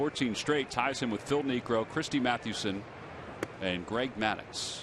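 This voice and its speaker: A man speaks at a fairly slow pace with very even loudness and ordinary pitch variation, over noticeable background noise. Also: medium pitch for a man. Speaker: play-by-play announcer. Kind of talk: live commentary.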